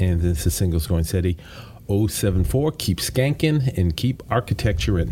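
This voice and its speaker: A man with a very deep, low voice and vocal fry speaks at a moderate pace in a playful tone. His pitch swings very widely while his loudness stays very even. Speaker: podcast host. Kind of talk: casual chat. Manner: joking, playful.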